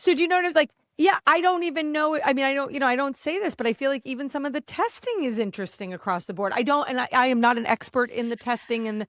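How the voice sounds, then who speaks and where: A woman's high voice with an American accent, very fast with hardly any pauses, lively in intonation, the sound dry and close with no echo. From New Jersey, US Northeast. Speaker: podcast host. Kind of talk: casual interview chat.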